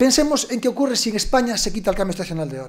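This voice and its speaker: A man talks very fast with lively intonation. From Galicia, Costa da Morte. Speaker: panel speaker, time-zone expert. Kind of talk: panel debate talk.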